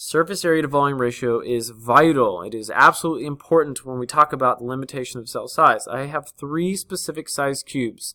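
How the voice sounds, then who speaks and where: A man with a bright, sharp tone talks at a fairly quick pace and fairly high pitch, with ordinary pitch variation, big swings in loudness and hardly any pauses, on a very clean recording with a silent background. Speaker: science teacher. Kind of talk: lecture. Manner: fast.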